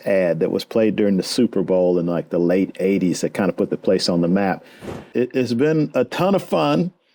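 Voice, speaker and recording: Recorded very cleanly with a silent background, a man with a Texan accent speaks at a moderate pace in a dark, mellow tone. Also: dry, close sound with no echo. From Texas, Houston. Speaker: fly fishing guide. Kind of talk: interview.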